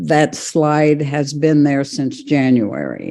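Very slow, very deep, low-pitched woman's voice, dark and mellow in tone, fairly even in intonation, over a quiet background. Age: 80s+. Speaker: public commenter. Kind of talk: public comment. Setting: video call.

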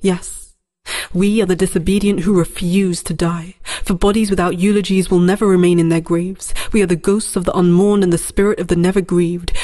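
A woman's medium-pitched voice, dark and mellow in tone, fairly quick, very even in loudness and monotone and flat in intonation, against a quiet background. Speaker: spoken word poet. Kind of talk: spoken word poem, defiant and rhetorical, performed as a collective 'we' declaration. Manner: impassioned, incantatory, with emphatic rhythmic cadence and a refrain-like repetition; fiery, defiant, and resolute, building in intensity like a rallying protest cry. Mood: defiant, passionate. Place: studio.

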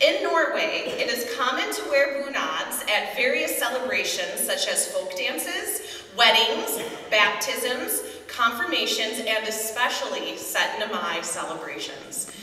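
Audible room echo surrounds this woman's voice. She talks at a fairly slow pace. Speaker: fashion show emcee. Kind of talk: live event narration. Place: church.

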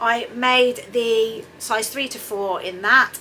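A woman's voice with light background noise. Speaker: sewing vlogger. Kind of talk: casual vlog chat. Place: home room.

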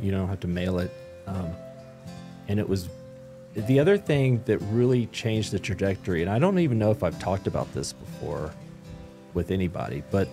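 Clear music in the background behind a man with a fairly low pitch, talking at a fairly quick pace with long, frequent pauses. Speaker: business owner, publisher. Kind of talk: interview answer. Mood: reflective, serious storytelling. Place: studio. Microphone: studio mic.

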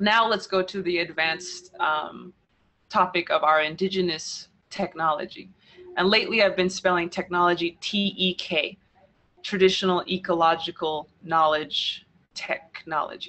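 A woman speaks with an American accent. Her pace is moderate and her intonation fairly even. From New Mexico, US Southwest. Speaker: speaker, poet. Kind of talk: interview. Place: home room. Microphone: earbuds.

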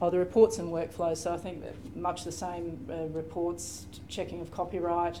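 A woman with an Australian accent speaks at a moderate pace with hardly any pauses, her pitch fairly low. Her intonation is monotone and flat over light background noise. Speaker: library systems librarian; panelist. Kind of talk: conference panel presentation. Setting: stage with audience. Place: meeting room.

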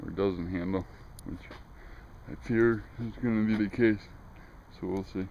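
Over light background noise and in a dry sound with no echo, a man with a fairly low pitch and a dark, mellow tone speaks fairly slowly with fairly even intonation. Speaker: car owner vlogger. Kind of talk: casual vlog chat. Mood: wry, pessimistic. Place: street. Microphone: phone near.

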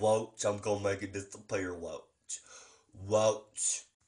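A man does a put-on character voice, pitched fairly low. He goes at a fairly slow pace with a flat, monotone delivery. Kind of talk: comedy sketch. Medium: role play. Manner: eager, repetitive.

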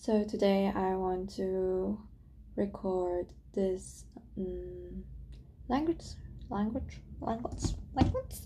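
A woman with a German accent speaks at a very slow pace with long, frequent pauses over light background noise. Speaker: language learner. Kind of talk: casual talk to camera. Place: home room. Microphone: webcam.

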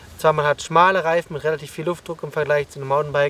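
Very fast and dry with no echo, a man's speech keeps a fairly even intonation. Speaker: mountain bike coach. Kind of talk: explanatory vlog commentary. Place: open country.

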